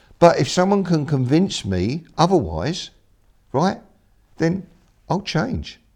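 A man's fairly high, fry-tinged voice with lively intonation, a very slow pace and long, frequent pauses, on a very clean recording with a silent background. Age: 60s. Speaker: mindset coach and speaker. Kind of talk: interview. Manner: halting.

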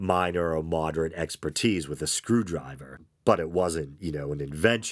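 A man's croaky, very deep, low voice, with ordinary pitch variation, comes through a very clean recording with a silent background. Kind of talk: casual podcast monologue. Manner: casual, hesitant with fillers.

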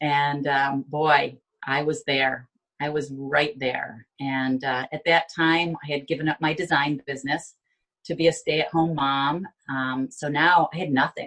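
In an American accent, a woman with a very deep, low pitch speaks at a fairly slow pace with fairly even intonation. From Binghamton, New York. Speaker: life coach. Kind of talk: interview testimony.

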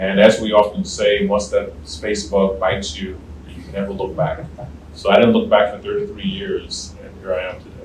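A man with an American accent at a moderate pace, with audible room echo. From US South, southern Virginia. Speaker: retired space program director. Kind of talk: interview. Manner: halting.

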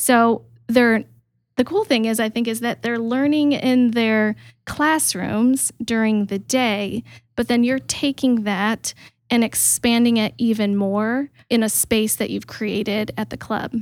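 In a very clean recording with a silent background, a woman with a plain, everyday voice speaks at a fairly slow pace, her fairly high pitch carrying fairly even intonation. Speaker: podcast host. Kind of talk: interview conversation.

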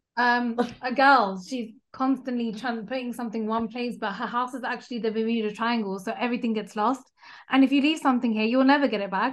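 A woman with a British accent talks very fast in a high voice, her intonation fairly even against a quiet background. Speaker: podcaster. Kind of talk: casual chat. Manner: candid, profane.

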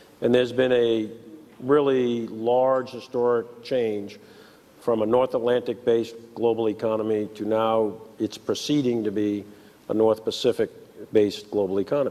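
A man in a New York accent at a medium pitch, with monotone, flat intonation, at a moderate pace. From New York City. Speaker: show staff member. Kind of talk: casual chat. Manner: halting.

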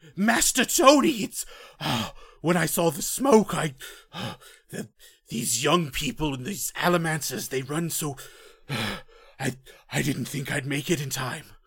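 Using a put-on character voice, a man speaks fairly slowly in a fairly high pitch, leaving long, frequent pauses. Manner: anxious, frantic.

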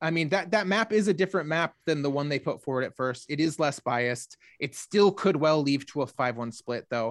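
Against a quiet background, a man with a normal speaking voice talks in an American accent at fairly high pitch, with lively intonation. His pace is fairly quick with hardly any pauses, and the sound is dry and close with no echo. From Michigan, Grand Rapids. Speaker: political journalist. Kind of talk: interview.

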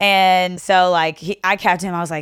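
A woman speaks with a Southern US accent. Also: very clean recording, silent background. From Kentucky, Owensboro. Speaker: podcast guest. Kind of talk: casual chat. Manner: casual, lots of fillers.

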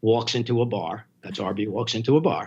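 Here a man talks at a medium pitch. His intonation stays fairly even. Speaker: film platform founder. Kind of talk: casual interview.

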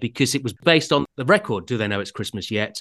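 A man with an English accent at a medium pitch and very fast pace, in a dry, close sound with no echo over a quiet background. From England. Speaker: author and radio comedy writer. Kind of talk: interview.

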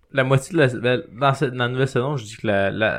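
In a Quebec accent, a man talks at a moderate pace. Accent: Québécois French. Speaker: podcast guest. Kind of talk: casual chat. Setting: studio.

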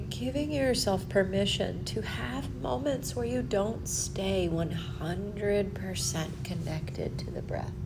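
Speaking at a very slow pace with hardly any pauses, a woman uses a soothing tone over noticeable background noise. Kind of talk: guided meditation. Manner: slow, soft and soothing, with long pauses; gentle, calm, unhurried.

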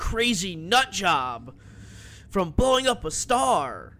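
Using a raised, projected voice, a man talks at a very slow pace with a bright, sharp tone and very wide pitch swings. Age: 30s. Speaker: podcast co-host. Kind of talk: casual chat.

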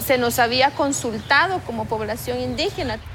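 Over noticeable background noise, a woman with a high pitch for a woman speaks at a fairly slow pace. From Guatemala, Lake Atitlán. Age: 30s. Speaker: environmental activist. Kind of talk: interview. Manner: halting.

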